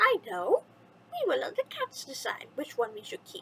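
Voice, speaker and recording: Using a put-on character voice, a woman talks at a moderate pace with very wide pitch swings and big swings in loudness, the sound dry and close with no echo. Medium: read story.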